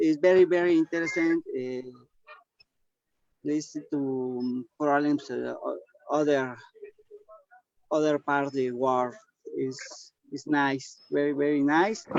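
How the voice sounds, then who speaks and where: With a Spanish accent, a man speaks at a fairly slow pace and fairly high pitch, using fairly even intonation and long, frequent pauses. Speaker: webinar attendee. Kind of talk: casual chat. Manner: halting.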